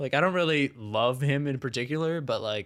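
An ordinary speaking voice with an American accent moves at a fairly quick pace with ordinary pitch variation on a very clean recording with a silent background. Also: man. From Ohio. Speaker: podcast co-host. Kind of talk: casual comedic chat. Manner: jokey, laughing.

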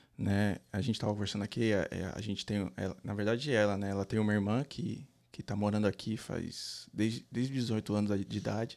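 A man's voice sits fairly low in pitch and varies in an ordinary way. He delivers his words at a fairly quick clip. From Brazil, São Paulo city. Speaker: cleaning business owner, immigrant. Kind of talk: casual interview. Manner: halting, repeats words.

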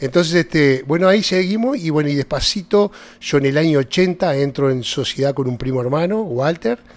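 A man with a Uruguayan accent speaks at a moderate pace. His pitch is fairly high, with ordinary variation. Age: 60s. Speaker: vineyard grower. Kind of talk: casual interview. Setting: at the vineyard. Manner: halting.

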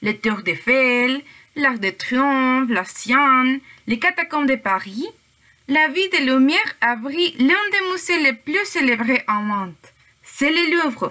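Using a raised, projected voice with a Spanish accent, a woman speaks at a very slow pace and high pitch, her pitch swinging very widely while her loudness stays very even. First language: Spanish (speaking French). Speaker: language student, podcast co-host. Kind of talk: student podcast presentation, partly read.

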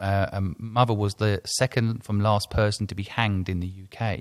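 In a very clean recording with a silent background, a man with an English accent speaks at a fairly low pitch in a monotone, flat intonation. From England. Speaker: podcast host, entrepreneur. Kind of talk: interview.

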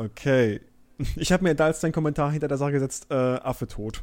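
His voice is fairly high in pitch. The man keeps a moderate pace. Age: 20s. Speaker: podcast co-host. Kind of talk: casual chat. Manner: halting.

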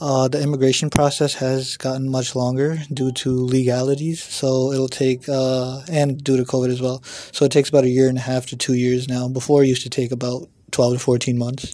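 A man's fairly quick, monotone, flat delivery in a New York State accent, with noticeable background noise. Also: medium pitch for a man. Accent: American, New York State. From New York State, US. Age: 20s. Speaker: student and hospital worker. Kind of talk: interview.

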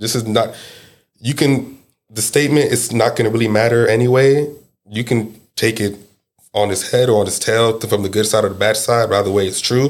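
A man's normal speaking voice at medium pitch, with fairly even intonation and a moderate pace. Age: 20s. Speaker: actor. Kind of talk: casual chat.

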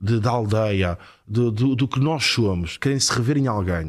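A man speaks in a normal speaking voice, fairly low in pitch, at a moderate pace. The recording is very clean, with a silent background. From northern Portugal, Porto. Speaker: former footballer turned football pundit. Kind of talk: casual interview chat.

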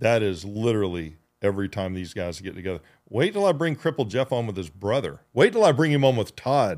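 A man's fairly low, animated voice with very wide pitch swings at a fairly quick pace, on a very clean recording with a silent background. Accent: American. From US state of Georgia. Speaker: podcast host. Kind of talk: casual chat.

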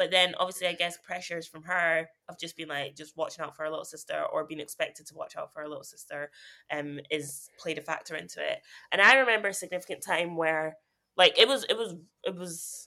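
A woman talks at a very fast pace with a fairly low pitch. Her loudness swings widely. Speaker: podcast host. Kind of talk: casual chat. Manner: laid-back, jokey.

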